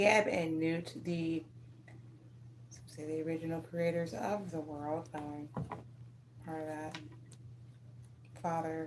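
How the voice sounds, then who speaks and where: A woman with a very deep, low pitch speaks at a very slow pace, with long, frequent pauses and audible room echo. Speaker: tarot reader. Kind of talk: tarot reading livestream. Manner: animated, halting.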